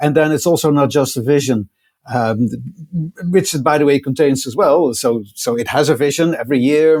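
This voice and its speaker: The speaker talks at a fairly quick pace with a Dutch accent. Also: man. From Netherlands. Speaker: technology executive. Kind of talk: podcast interview. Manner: halting, many fillers and repeats.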